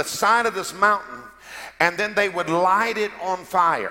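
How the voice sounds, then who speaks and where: A raised, projected voice at a fairly slow pace. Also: man. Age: 50s. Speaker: pastor. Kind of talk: sermon. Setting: church. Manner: animated.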